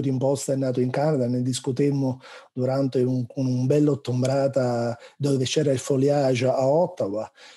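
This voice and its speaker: At a moderate pace, a man with a Neapolitan accent speaks in a medium pitch, his tone dark and mellow, over a quiet background. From Naples, southern Italy; southern Italy. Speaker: researcher; professor, webinar panelist. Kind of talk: question in a webinar Q&A; webinar discussion. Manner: hesitant, many fillers. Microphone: earbuds.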